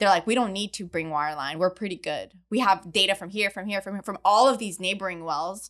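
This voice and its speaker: An ordinary speaking voice from a woman, medium in pitch with ordinary variation, at a fairly quick pace with hardly any pauses, big swings in loudness, and a very clean recording with a silent background. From Montreal, Canada. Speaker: chemical engineer and oil industry podcaster. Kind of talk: casual interview chat.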